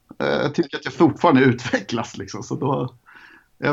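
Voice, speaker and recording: Using vocal fry, a medium-pitched man talks at a fairly quick pace with lively intonation. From Sweden, Jönköping then Gothenburg. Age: 40s. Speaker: graffiti artist. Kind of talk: casual interview.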